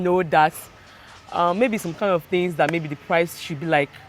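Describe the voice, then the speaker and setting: A woman with a Nigerian accent is speaking. Her voice is fairly low and her pace moderate. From Nigeria (Delta State). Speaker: business owner. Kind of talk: interview. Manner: halting.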